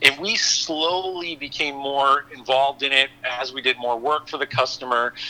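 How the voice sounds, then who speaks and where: A fairly high-pitched man's voice against noticeable background noise. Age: 40s. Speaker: bitcoin mining executive. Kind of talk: interview.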